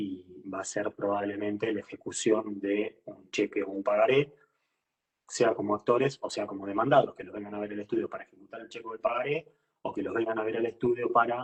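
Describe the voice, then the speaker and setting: Loudness swings widely while the speech moves at a fairly quick pace. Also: man. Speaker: law professor. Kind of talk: lecture. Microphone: low audio, sounds quiet.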